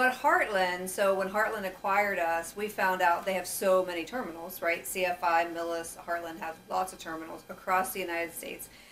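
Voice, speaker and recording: Fairly quick, with hardly any pauses, a woman talks at a medium pitch. Her intonation is fairly even, and background noise is noticeable. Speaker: marketing and recruiting director hosting company newscast. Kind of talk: casual chat. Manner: fast.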